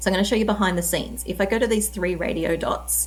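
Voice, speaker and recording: A woman speaks with an Australian accent. Audible room echo surrounds her voice. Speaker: tech presenter. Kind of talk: tutorial. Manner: casual, conversational.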